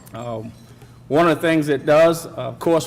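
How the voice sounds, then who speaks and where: A man with a Southern US accent talks at a fairly high pitch with fairly even intonation over noticeable background noise. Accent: Southern drawl. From US South. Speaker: corporate speaker at a charity breakfast. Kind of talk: welcome speech. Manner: halting, many fillers.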